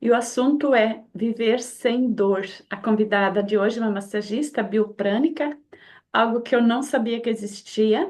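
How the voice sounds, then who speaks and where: A woman with a normal speaking voice, fairly high pitch, ordinary pitch variation and a fairly slow pace. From Brazil. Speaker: community host. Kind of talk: online community talk introduction.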